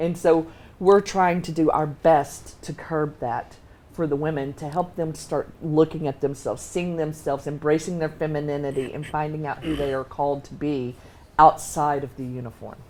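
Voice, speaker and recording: A woman's very deep, low voice at a moderate pace, with fairly even intonation and big swings in loudness, amid noticeable background noise. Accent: Texas. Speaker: Navy veteran, founder of women's ministry. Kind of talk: talk show interview.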